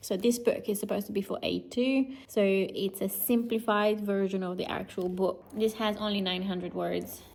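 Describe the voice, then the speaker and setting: A woman speaks with a Romanian accent at medium pitch and a moderate pace. Her intonation is monotone and flat. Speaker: lifestyle vlogger. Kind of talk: vlog talking to camera.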